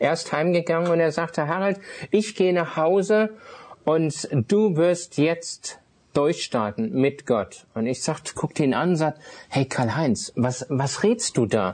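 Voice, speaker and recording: A high-pitched man talks at a very slow pace with lively intonation and very even loudness. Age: 50s. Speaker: itinerant minister, former art dealer. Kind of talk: personal testimony interview. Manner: hesitant, many filler sounds.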